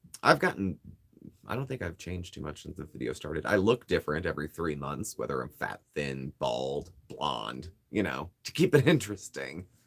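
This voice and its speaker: With vocal fry and a very deep, low pitch, a man speaks at a moderate pace. His intonation is lively. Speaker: YouTube vlogger. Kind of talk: casual chat.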